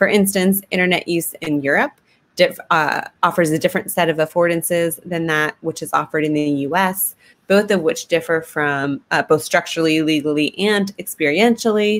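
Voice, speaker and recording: In an American accent, a woman with a normal speaking voice talks at a moderate pace, fairly low in pitch, with ordinary pitch variation. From United States. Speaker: sociology lecturer. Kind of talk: webinar presentation.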